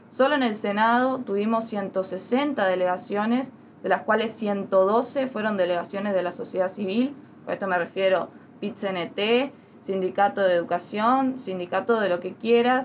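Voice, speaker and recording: At a fairly slow pace, a woman speaks in a plain, everyday voice with medium pitch and ordinary pitch variation. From Uruguay. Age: young. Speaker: political activist. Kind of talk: interview.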